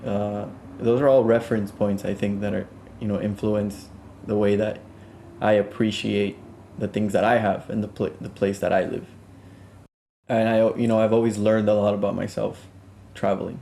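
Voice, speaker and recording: A man's fairly low voice, dark and mellow in tone, at a moderate pace with long, frequent pauses and flat, monotone intonation. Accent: Spanish. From South Florida, Colombian family. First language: Spanish. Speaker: music producer. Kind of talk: interview. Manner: halting, many fillers and restarts.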